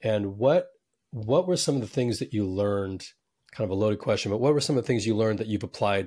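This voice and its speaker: Against a silent background in a very clean recording, a man speaks very fast at a fairly low pitch with ordinary pitch variation. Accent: American. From US West Coast. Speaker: podcast host. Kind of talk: interview.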